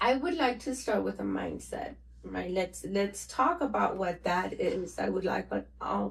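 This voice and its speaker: A woman speaking at a fairly slow pace in a Spanish accent. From Mexico. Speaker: financial educator, new podcast host. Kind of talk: casual interview.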